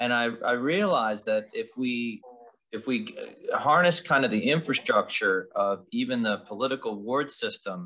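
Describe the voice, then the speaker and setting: A man in a Philadelphia accent at a moderate pace. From Philadelphia suburbs, Pennsylvania. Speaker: podcast co-host, community organization co-founder. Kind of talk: casual podcast conversation.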